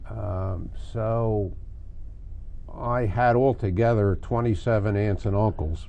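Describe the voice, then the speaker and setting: A man with a Philadelphia accent speaks very slowly in a fairly low, dark, mellow voice with fairly even intonation. Long, frequent pauses break up his speech, and the room echo is audible. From Philadelphia area, Pennsylvania. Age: 80s+. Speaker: local history interviewee. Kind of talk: oral history interview. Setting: basement studio.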